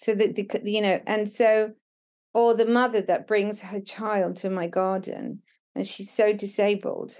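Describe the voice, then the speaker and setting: Against a quiet background, a woman with a fairly high pitch speaks at a fairly slow pace in a monotone, flat delivery. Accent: southern English. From Brighton, England. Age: 50s. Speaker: documentary photographer. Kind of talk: casual chat. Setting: outdoors.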